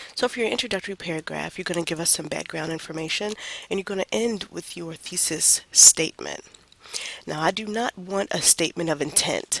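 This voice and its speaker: Through noticeable background noise, a woman with a fairly low pitch and ordinary pitch variation speaks at a fairly quick pace, the sound dry and close with no echo. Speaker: college writing instructor. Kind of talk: lecture. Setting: recorded online lecture.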